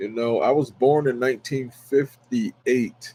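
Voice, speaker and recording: Speaking very slowly with an American accent, a man has a dark, mellow tone and fairly even intonation. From Washington DC / Maryland area. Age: 60s. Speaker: pastor and sports fan streamer. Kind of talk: casual livestream talk. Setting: solo livestream. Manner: hesitant, many fillers.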